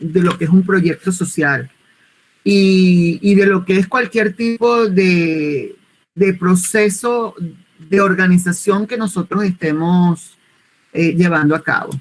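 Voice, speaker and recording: A woman with a Venezuelan accent talks at a very slow pace in a medium-pitched, somewhat breathy voice with ordinary pitch variation. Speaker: social communicator and volunteer project trainer. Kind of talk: online workshop presentation.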